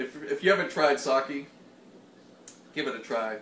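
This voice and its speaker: This man has an American accent. He speaks at a moderate pace. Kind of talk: casual chat while cooking. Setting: home kitchen.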